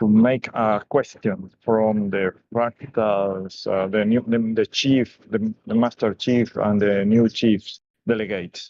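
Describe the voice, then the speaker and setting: Very even in loudness, a man speaks very slowly at a fairly low pitch in a monotone, flat intonation. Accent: non-native. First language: not English. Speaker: community member. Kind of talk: open mic comment. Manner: halting.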